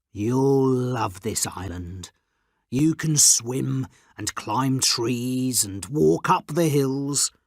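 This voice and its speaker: A man's put-on character voice at medium pitch, delivered at a very slow pace. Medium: read story.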